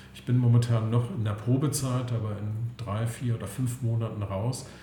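A man is speaking here. Noticeable background noise and audible room echo can be heard. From Saxony-Anhalt, Altmark (eastern Germany). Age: 50s. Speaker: real estate investment consultant. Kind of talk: interview. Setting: office.

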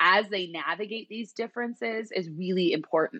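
Here is a woman with a normal speaking voice. She uses ordinary pitch variation against a quiet background. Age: 30s. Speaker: psychologist and therapist. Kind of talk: casual interview chat.

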